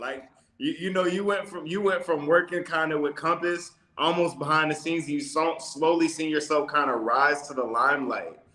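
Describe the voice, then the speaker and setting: A man talks at an unhurried, moderate rate while noticeable noise fills the background. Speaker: podcast host. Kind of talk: interview host talk.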